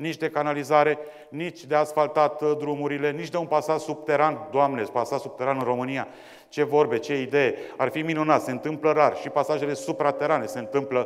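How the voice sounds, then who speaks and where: A man talks at a fairly quick pace in a monotone, flat intonation. The background is quiet. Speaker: debate moderator. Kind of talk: formal introduction to an audience. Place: hall. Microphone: lapel.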